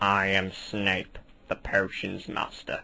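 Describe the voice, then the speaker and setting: A man uses a cartoonish character voice, fairly low in pitch and delivered at a fairly slow pace. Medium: puppet show.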